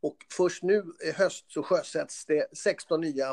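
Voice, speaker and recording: A man at a very slow pace, with ordinary pitch variation and a dry, close sound free of echo. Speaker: trade association CEO, former car mechanic. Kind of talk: interview. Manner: halting, with repetitions.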